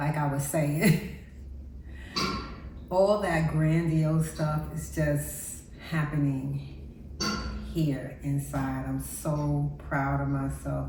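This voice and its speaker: At a very slow pace, a woman speaks amid noticeable background noise and audible room echo. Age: 60s. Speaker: lifestyle vlogger. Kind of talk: casual vlog talk to camera. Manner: stumbles over words.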